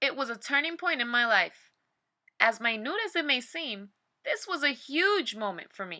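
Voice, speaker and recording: A woman projects her voice loudly, with a bright, sharp tone at a high pitch. Her pitch swings very widely at a moderate pace. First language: Spanish. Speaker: personal essayist. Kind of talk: reading aloud.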